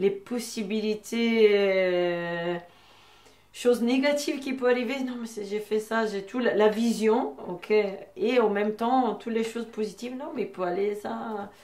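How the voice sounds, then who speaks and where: A woman with an Italian accent, fairly high in pitch, at a fairly slow pace with ordinary pitch variation. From Italy. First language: Italian (speaking French). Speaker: boxing coach and artist. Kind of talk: personal testimony interview. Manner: hesitant, with many filler sounds.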